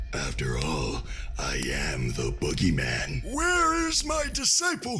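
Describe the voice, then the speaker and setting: Someone performs a put-on character voice. The pace is fairly slow. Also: man. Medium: audio drama. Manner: blustery, theatrical menace.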